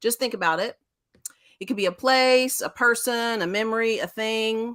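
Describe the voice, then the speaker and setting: The speaker has a Texas accent and keeps a moderate pace with fairly even intonation. The recording is very clean, with a silent background. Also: woman, fairly high pitch for a woman. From Central Texas, Waco. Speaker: school special education director. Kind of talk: interview talk.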